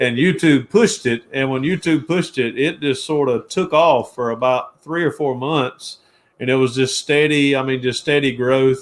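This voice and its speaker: This man has a Georgia accent and a fairly high pitch. He talks at a moderate pace. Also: ordinary pitch variation. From US South, Georgia (Jackson, near Atlanta). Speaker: car restoration YouTuber. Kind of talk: casual interview chat. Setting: live stream.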